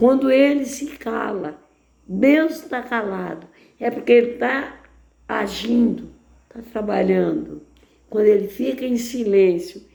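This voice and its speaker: In a room with audible echo, a woman speaks at a fairly slow pace with lively intonation, big swings in loudness, and long, frequent pauses. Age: 80s+. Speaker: lay preacher. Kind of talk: sermon.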